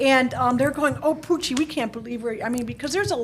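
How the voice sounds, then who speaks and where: A high-pitched woman with an American accent at a very fast pace, ordinary pitch variation, and noticeable background noise. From Chicago, US. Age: 60s. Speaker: market research analyst. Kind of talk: podcast interview. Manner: halting, with repetitions.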